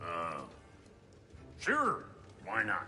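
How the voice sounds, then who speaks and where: Through clear background noise, a man performs a put-on character voice. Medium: short film. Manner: gruff, sarcastic.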